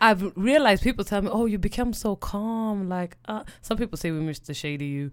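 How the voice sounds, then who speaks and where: The speaker talks in a Swedish accent at a fairly quick pace with hardly any pauses. The tone is animated. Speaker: podcast co-host. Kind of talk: casual chat.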